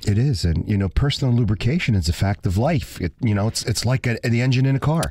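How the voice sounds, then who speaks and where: Lively in intonation, this somewhat breathy voice with a dark, mellow tone and an American accent races along very fast with hardly any pauses and very even loudness. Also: man, medium pitch for a man. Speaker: radio host. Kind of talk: casual chat.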